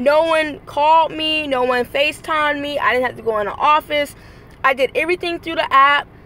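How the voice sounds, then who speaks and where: A woman raises and projects her high-pitched voice. She talks at a fairly quick pace with ordinary pitch variation. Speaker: vlogger and rideshare driver. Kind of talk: motivational vlog. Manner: high energy.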